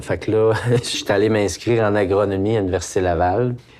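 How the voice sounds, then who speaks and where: With a Quebec accent, a man speaks at a fairly quick pace. His pitch is fairly low and his intonation fairly even. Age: 60s. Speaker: organic farmer and meat processor. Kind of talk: casual interview.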